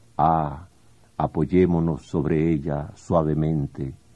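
Against a quiet background, a man with a dark, mellow tone speaks at a very slow pace. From Venezuela. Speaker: poet. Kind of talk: poetry reading. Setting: radio studio. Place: studio.

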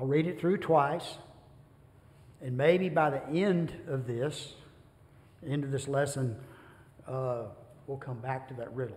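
A somewhat breathy voice at a fairly slow pace with fairly even intonation. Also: man. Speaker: bible class teacher. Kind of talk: lecture. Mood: relaxed, light humor. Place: church. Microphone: podium.

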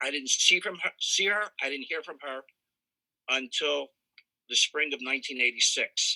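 A man with an American accent speaks in a bright, sharp tone, recorded with a dry, close sound and no echo. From Pennsylvania. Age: 60s. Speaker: victim's friend giving statement. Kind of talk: victim impact statement. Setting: video call.

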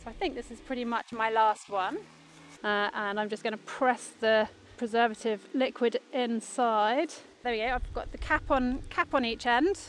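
In an ordinary speaking voice at a moderate pace, this speaker shows ordinary pitch variation, with light background noise and a dry sound with no echo. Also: woman, fairly high pitch for a woman. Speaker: company founder, ecologist. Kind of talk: field interview. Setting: outdoors by a river. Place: waterside.

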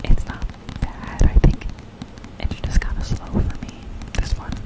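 Whispering and soft-spoken, a woman speaks at a fairly slow pace. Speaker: book video creator. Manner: soft close-mic whisper. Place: home room. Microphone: studio mic.

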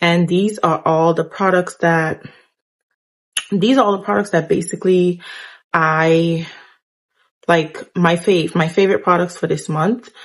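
The voice is somewhat breathy, moving at a moderate pace with fairly even intonation. The background is quiet. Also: woman. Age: 20s. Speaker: beauty vlogger. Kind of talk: casual vlog talk. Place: home room. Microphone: phone near.

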